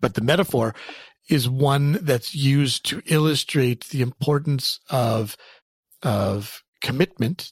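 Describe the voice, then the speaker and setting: A man with a Canadian accent talks at a medium pitch, somewhat breathy, in a dry, close sound with no echo. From Canada. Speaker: clinical psychologist. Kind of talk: interview. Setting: office.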